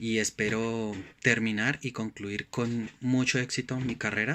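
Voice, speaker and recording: This man's voice has a bright, sharp tone at a medium pitch. His intonation stays fairly even. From Colombia, Bogotá. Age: 30s. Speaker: student, delivery driver. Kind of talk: student course reflection presentation. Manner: hesitant, many fillers.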